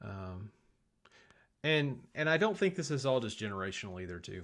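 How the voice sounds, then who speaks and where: A man talks at a moderate pace with ordinary pitch variation in a very clean recording with a silent background. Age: 40s. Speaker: tech livestream host. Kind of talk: casual livestream chat. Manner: halting, self-correcting.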